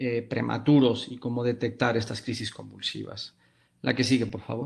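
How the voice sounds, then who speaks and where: Speaking at medium pitch, the man keeps a moderate pace and a monotone, flat intonation. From Spain. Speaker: pediatric neurologist. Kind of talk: lecture. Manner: hesitant, many fillers.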